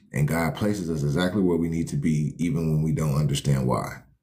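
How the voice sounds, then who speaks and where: A man's very deep, low pitch with fairly even intonation and audible room echo. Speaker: life coach hosting a livestream. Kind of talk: motivational livestream talk. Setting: live stream. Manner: fast.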